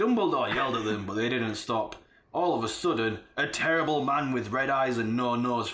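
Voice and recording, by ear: The clip is reading aloud in a natural voice, with lively intonation.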